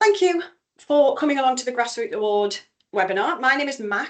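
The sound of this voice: A woman with a North East England accent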